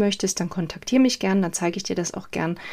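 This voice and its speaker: Here is an unremarkable speaking voice from a woman, pitched in the medium range. The intonation she uses is lively. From eastern Germany, Saxony. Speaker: copywriter and podcast host. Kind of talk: solo podcast monologue.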